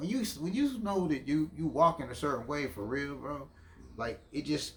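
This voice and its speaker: In an American accent, an ordinary speaking voice keeps a moderate pace and ordinary pitch variation. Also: man. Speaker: podcast host. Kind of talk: casual chat.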